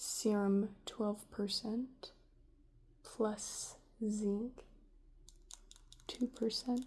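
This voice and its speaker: A soft-spoken voice moves at a very slow pace, broken by long, frequent pauses. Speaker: ASMR creator. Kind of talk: ASMR soft-spoken rambling.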